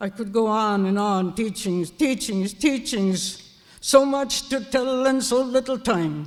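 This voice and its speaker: Very slow in pace, the speech comes through on a very clean recording with a silent background. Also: man, high pitch for a man, ordinary pitch variation. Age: old. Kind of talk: elder's opening address.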